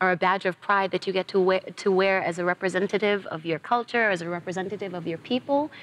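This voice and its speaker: Medium pitch from a woman at a fairly quick pace, ordinary pitch variation, a dry, close sound with no echo, and noticeable background noise. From New York, raised by South African parents. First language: Zulu. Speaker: actress. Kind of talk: TV interview.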